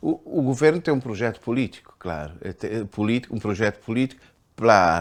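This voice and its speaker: Here a man talks at a moderate pace. His medium-pitched voice has lively intonation. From Cape Verde. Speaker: painter and writer. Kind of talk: interview answer. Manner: hesitant, repetitive.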